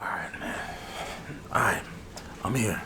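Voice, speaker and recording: A soft-spoken man in a relaxed tone, with noticeable background noise. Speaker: barber roleplay ASMR creator. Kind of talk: ASMR barber roleplay, casual conversational talk to camera. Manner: soft-spoken, relaxed, chatty.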